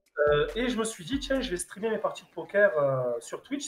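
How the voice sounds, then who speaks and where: A man talks with music in the background. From Marseille, southern France. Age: 30s. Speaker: streamer and truck driver. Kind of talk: casual interview. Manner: hesitant, many filler sounds.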